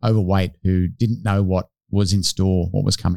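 A man with an Australian accent has a dark, mellow tone on a very clean recording with a silent background, the sound dry and close with no echo. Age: 40s. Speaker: podcast co-host. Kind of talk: casual interview.

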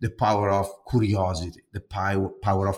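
Somewhat breathy, a man speaks with an Italian accent at a fairly low pitch. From Italy. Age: 40s. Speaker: corporate design executive. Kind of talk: podcast interview. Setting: remote from his home apartment. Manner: animated.

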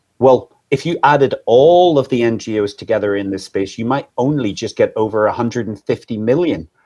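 Lively intonation and a dark, mellow tone mark this voice in a Northern Irish accent. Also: man. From Northern Ireland. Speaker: anti-trafficking charity leader. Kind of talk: live stream interview. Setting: live stream, video call.

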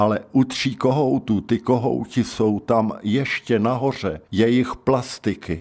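A very slow, hardly paused delivery from a man at medium pitch, with vocal fry, very even loudness and ordinary pitch variation, in a very clean recording with a silent background. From South Bohemia, České Budějovice. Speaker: retired secondary school teacher. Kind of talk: life-story radio interview.

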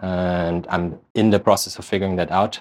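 A man's fairly low voice with a German accent on a very clean recording with a silent background. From Germany. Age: 30s. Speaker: real estate investor. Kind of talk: interview.

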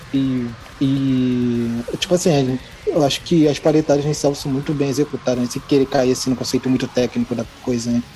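A medium-pitched man keeps his intonation fairly even as he talks fairly quickly amid noticeable background noise. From Brazil, Rio de Janeiro. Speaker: podcast guest, listener. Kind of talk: casual chat.

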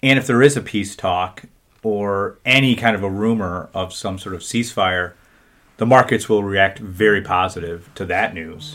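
A man with an unremarkable speaking voice and a fairly low pitch speaks at a moderate pace, with ordinary pitch variation and big swings in loudness. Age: 40s. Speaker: financial advisor. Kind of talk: casual chat.

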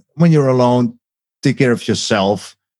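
A man speaks in a Dutch accent with a dark, mellow tone. His pitch varies in an ordinary way. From Netherlands, agricultural region. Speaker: documentary maker. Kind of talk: interview. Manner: halting.

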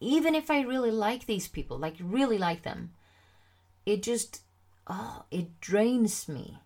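A woman with a Swedish accent speaks fairly slowly at a fairly high pitch, her voice making very wide pitch swings. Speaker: confidence coach and podcast host. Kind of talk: solo podcast monologue. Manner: casual, many fillers.

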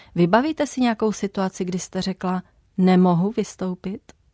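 Her dark, mellow tone comes through with fairly even intonation as a woman speaks in a dry, close sound with no echo over a quiet background. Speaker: radio host. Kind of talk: radio interview. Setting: studio. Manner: formal.

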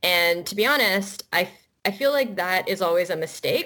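On a very clean recording with a silent background, a bright, sharp tone moves at a moderate pace with ordinary pitch variation. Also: woman. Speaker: cartoonist and author. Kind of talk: interview. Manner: casual, hesitant, laughing.

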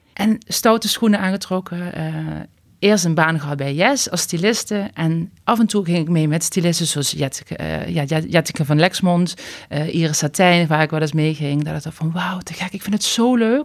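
On a very clean recording with a silent background, a woman speaks at fairly low pitch and moderate pace, with ordinary pitch variation. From Limburg, Netherlands. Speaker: stylist and YouTuber. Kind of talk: casual interview chat.

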